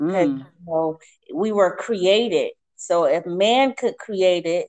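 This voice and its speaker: A woman at medium pitch uses an ordinary speaking voice at a fairly slow pace, the sound dry and close with no echo. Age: 50s. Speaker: minister and speaker. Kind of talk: interview, testimony. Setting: phone call.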